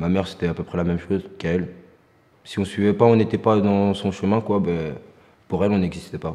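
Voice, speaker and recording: Speaking at a fairly quick pace, a man has a very deep, low pitch, a dark, mellow tone, and fairly even intonation. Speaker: young volunteer in a job-training programme. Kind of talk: testimony.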